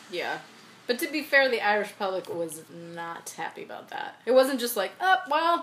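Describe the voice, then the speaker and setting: Over noticeable background noise, a woman speaks in an animated tone at a high pitch and moderate pace, with very wide pitch swings. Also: big swings in loudness. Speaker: podcast co-host. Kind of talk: casual chat. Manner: animated, joking.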